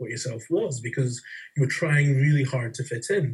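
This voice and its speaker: A man with a Scottish accent speaks at a moderate pace in a medium pitch, his voice somewhat breathy and his pitch varying in an ordinary way. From Scotland. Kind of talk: casual interview conversation.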